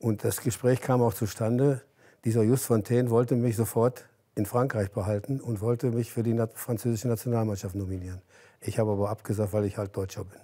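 This man's voice sits at a medium pitch and has a dark, mellow tone. His intonation stays fairly even. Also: fairly quick pace, quiet background. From Germany. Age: 80s+. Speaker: former footballer; interview guest. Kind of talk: interview. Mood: relaxed, reminiscing, smiling. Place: home room. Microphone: lapel.

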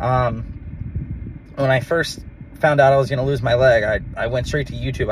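Light background noise sits behind a man's voice, recorded dry with no echo. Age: 30s. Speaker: amputee vlogger. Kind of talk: casual vlog monologue. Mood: reflective, a bit worked up. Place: car. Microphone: phone near.

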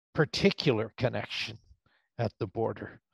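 The sound is dry, with no echo. The background is quiet. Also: man. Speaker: professor, audience questioner; professor, questioner. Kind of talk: Q&A question. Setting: video call. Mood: reflective, conversational. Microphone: video call.

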